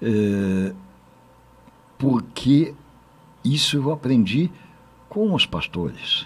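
Speaking at a very slow pace with long, frequent pauses, a man with medium pitch and a somewhat breathy sound makes very wide pitch swings. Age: 70s. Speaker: state politician. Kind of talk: panel discussion. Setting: studio. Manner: halting.

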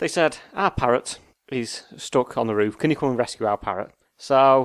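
A man speaks at a fairly quick pace in a medium pitch with ordinary pitch variation and an unremarkable speaking voice, captured in a dry, close sound with no echo on a very clean recording with a silent background. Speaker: podcast host. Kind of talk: casual banter podcast.

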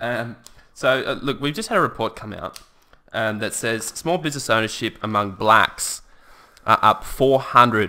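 In an Australian accent, a man speaks at a medium pitch and moderate pace, with ordinary pitch variation and a bright, sharp tone. The recording is very clean, with a silent background. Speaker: podcast co-host. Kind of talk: casual political chat. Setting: studio.

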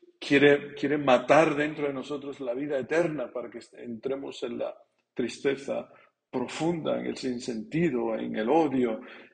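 A man's medium-pitched voice with vocal fry, at a fairly slow pace with fairly even intonation. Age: 40s. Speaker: priest. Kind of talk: sermon. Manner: halting.

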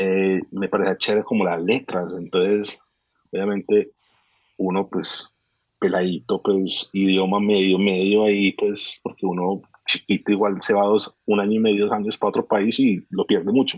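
In a dry, close sound with no echo, a man speaks at a moderate pace with a fairly low pitch and monotone, flat intonation. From raised between Colombia and Miami, US. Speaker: sneaker collector and content creator. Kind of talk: casual interview chat. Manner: halting with repeated words.

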